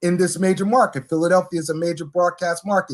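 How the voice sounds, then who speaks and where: A man's voice at high pitch. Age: 60s. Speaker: pastor and former radio announcer. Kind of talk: interview.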